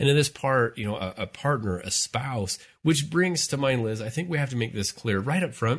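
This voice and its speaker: The man's voice comes across somewhat breathy. The background is quiet. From Utah, US. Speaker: family life professor, podcast host. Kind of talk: casual chat.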